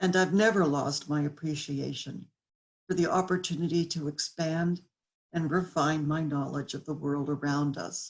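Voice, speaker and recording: At a moderate pace, a woman speaks with fairly even intonation in a very deep, low pitch. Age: 70s. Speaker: graduating student. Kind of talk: commencement speech.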